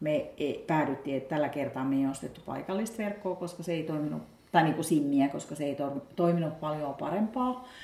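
This woman's pitch is very deep and low. She talks at a moderate pace with lively intonation. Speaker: podcast host. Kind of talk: casual chat. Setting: outdoors. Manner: stammering.

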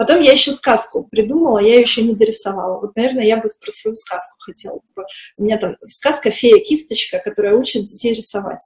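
With a fairly high pitch and ordinary pitch variation, a woman talks at a fairly quick pace, her loudness swinging widely. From post-Soviet industrial town. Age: 30s. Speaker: children's art teacher. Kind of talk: interview. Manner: hesitant.

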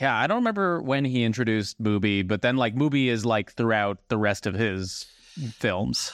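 A man with a normal speaking voice talks at a moderate pace and medium pitch, with ordinary pitch variation and very even loudness. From New Jersey. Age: 30s. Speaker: podcast guest, fellow podcaster. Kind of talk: casual chat.

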